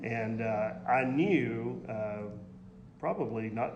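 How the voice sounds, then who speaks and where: A man speaks in a strong Southern US accent at a medium pitch with ordinary pitch variation. Audible room echo and noticeable background noise are present. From Middle Tennessee. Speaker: minister. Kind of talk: interview. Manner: halting.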